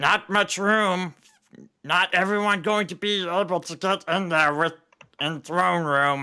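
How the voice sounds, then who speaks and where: Using a high-pitched put-on character voice, a man speaks at a fairly slow pace. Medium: actual play. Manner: clipped broken grammar.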